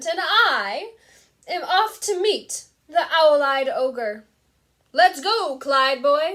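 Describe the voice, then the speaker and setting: Speaking very slowly with long, frequent pauses, a woman uses a put-on character voice at an extremely high pitch, her pitch swinging very widely. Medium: read story. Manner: hearty, boastful.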